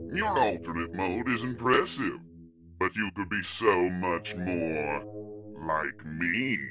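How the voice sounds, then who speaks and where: A man's put-on character voice, very deep and low, at a fairly slow pace over clear music in the background. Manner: calm, cold, commanding.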